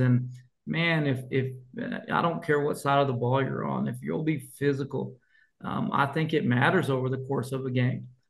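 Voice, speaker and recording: A man with an American accent talks at medium pitch and a moderate pace with ordinary pitch variation, and audible room echo surrounds him. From Colorado. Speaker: high school football coach. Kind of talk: interview.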